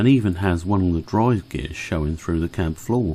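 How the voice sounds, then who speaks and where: A man with a British accent speaks at a very deep, low pitch with a dark, mellow tone and lively intonation, on a very clean recording with a silent background. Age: 60s. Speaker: model railway YouTuber. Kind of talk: narrated hobby video.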